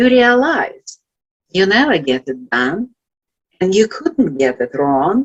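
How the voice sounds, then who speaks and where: A woman with a Russian accent at a very slow pace, with very wide pitch swings and a dry, close sound with no echo. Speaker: life coach. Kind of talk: motivational talk. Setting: virtual event.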